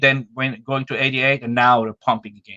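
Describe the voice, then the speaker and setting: A man speaks at a medium pitch and a fairly quick pace, his tone bright and sharp in a dry, close sound with no echo. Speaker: market analyst. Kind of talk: interview on market data. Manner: fast.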